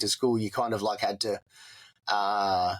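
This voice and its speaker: A man with an Australian accent speaks at a fairly slow pace in a flat, monotone way. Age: 40s. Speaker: war veteran. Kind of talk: interview. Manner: halting.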